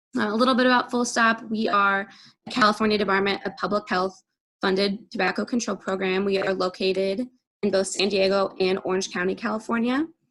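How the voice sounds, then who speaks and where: A fairly quick pace with fairly even intonation. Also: woman, medium pitch for a woman. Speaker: public health advocate. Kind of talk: presentation. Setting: video call. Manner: fast.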